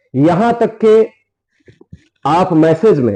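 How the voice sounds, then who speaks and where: The voice has a dark, mellow tone. It sounds strained. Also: man. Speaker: religious preacher. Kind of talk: public challenge speech. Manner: measured, restrained.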